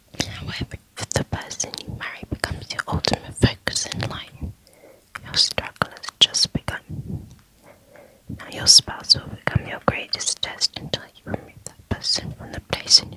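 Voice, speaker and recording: Calm whispering at a moderate pace over noticeable background noise. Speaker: ASMR reader of Islamic books. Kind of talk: audiobook-style book reading for sleep, ASMR. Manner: inaudible whispering, soft and calm.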